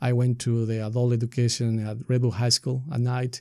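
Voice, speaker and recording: A man speaks with a Spanish accent in a dark, mellow tone. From Ecuador. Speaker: nonprofit leader. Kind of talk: interview.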